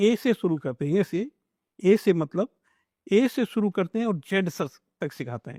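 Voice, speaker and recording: With a dark, mellow tone and a high pitch, a man swings his pitch very widely in a very clean, silent recording that sounds dry and close with no echo. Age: 60s. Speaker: self-help program founder. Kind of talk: interview. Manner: halting.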